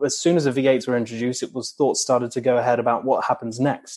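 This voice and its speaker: Against a quiet background, a man with a normal speaking voice and medium pitch speaks with fairly even intonation. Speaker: racing engineering journalist. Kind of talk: technical interview.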